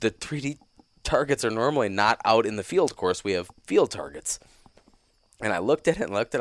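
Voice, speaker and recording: Dry and close with no echo, a man's medium-pitched voice races at a very fast pace, with very wide pitch swings and big swings in loudness. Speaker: guest, hunter and new mushroom forager. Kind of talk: casual chat.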